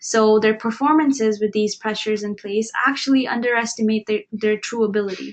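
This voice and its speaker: A woman's fairly high voice with an Indian accent, a fairly quick pace and fairly even intonation. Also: hardly any pauses. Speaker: webinar presenter. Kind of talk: webinar presentation.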